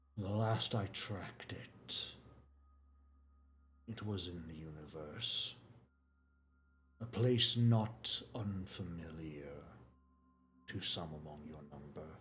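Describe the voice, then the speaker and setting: A man's put-on character voice, very deep and low, at a very slow pace with long, frequent pauses. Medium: actual play. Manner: measured, formal, cryptic.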